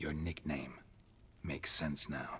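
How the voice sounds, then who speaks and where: Over clear background noise, a man puts on a character voice with very deep, low pitch. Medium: video game. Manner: terse, deadpan.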